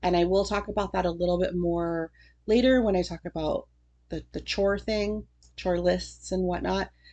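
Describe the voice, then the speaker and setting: At a moderate pace, a woman talks in a fairly low pitch with a dark, mellow tone and fairly even intonation. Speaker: homeschooling mom and channel host. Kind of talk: casual livestream chat. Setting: livestream on Facebook and YouTube.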